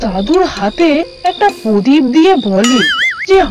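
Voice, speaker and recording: A high-pitched, cartoonish character voice is speaking. Clear music plays in the background. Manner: scolding yet affectionate, calls him names.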